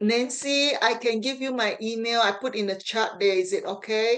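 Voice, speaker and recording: A woman at a medium pitch, speaking at a fairly slow pace. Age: 60s. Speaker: meeting attendee with polio. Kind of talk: group meeting discussion. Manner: halting.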